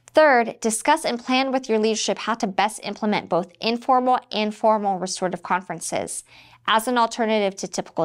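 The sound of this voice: In an unforced reading voice, the speaker's pitch moves with ordinary variation.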